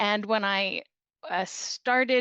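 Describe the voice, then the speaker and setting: A woman speaks with a Canadian accent. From Canada. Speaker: charity director. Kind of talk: podcast interview.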